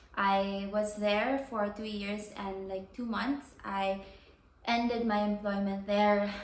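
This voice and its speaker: A woman speaks at a very slow pace with a medium pitch and fairly even intonation. Room echo is audible. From Philippines. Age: 20s. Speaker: vlogger and doctor. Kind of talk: casual vlog monologue. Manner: casual with frequent fillers.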